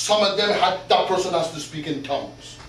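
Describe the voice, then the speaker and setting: The voice is loud, with audible room echo. Noticeable background noise sits behind it. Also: man. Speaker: pastor. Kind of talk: sermon. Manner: animated.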